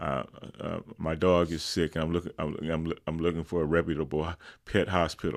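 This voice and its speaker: Over a silent background on a very clean recording, the voice carries vocal fry and a monotone, flat intonation. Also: man, very deep, low pitch for a man, moderate pace. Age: 70s. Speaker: mental wellness advocate. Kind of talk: interview. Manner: halting, many repetitions.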